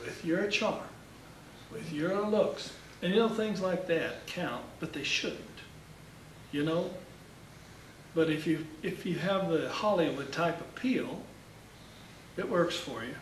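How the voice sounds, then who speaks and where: With audible room echo and noticeable background noise, a man speaks at a high pitch and a very slow pace, using ordinary pitch variation and long, frequent pauses. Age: 60s. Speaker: marketing speaker for insurance agents. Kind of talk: workshop talk.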